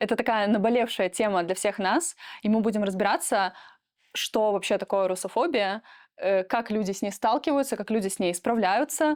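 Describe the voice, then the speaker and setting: A woman with a fairly high pitch talks at a moderate pace, her pitch shifting in an ordinary way. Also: very clean recording, silent background. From Russia, Moscow region (Protvino). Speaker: podcast co-host, programmer. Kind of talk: casual podcast chat. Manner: hesitant, many filler sounds.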